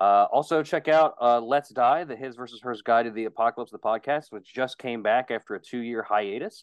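In an ordinary speaking voice with an American accent, a man talks at a fairly quick pace with hardly any pauses, a medium pitch, ordinary pitch variation and big swings in loudness. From West Virginia. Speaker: podcast co-host. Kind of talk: casual chat.

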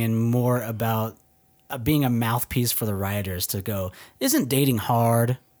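A man with a Texas accent, medium pitch and ordinary pitch variation at a fairly slow pace, on a very clean recording with a silent background. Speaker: podcast host. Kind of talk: casual chat.

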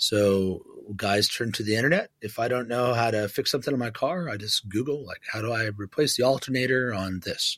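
Against a quiet background, a man with a normal speaking voice talks at a medium pitch with ordinary pitch variation and hardly any pauses. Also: fairly quick pace. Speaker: pastor. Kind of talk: interview conversation.

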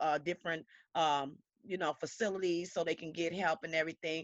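The sound is dry and close, with no echo. The pitch varies in an ordinary way. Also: woman. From Chicago. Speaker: domestic violence survivor. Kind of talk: testimony.

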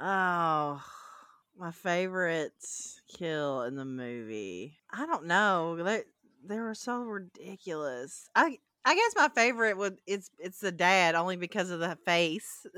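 A woman with a Southern US accent at a very slow pace, with lively intonation, a bright, sharp tone and big swings in loudness. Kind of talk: casual chat.

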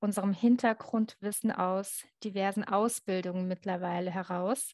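In an ordinary speaking voice, a woman talks at a fairly slow pace with medium pitch and fairly even intonation against a quiet background. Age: 40s. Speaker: journalist and author. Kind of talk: casual chat.

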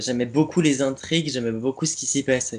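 A man talks at a medium pitch with ordinary pitch variation. He has an unremarkable speaking voice. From Champagne, France. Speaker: theatre company member, stage manager. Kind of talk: casual chat. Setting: Skype call. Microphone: poor Skype recording audio.

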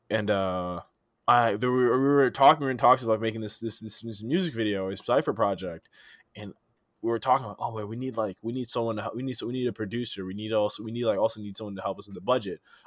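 A very fast American-accented male voice, medium in pitch, with ordinary pitch variation, big swings in loudness, and a very clean recording over a silent background. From East Palo Alto, California. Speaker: film student, cinematographer. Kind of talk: casual chat. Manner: casual, filler-heavy.

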